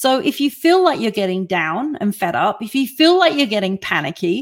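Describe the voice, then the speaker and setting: A plain, everyday voice at a moderate pace. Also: woman. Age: 50s. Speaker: online talk show host and life coach. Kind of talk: live-streamed motivational talk with audience Q&A. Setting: live online broadcast.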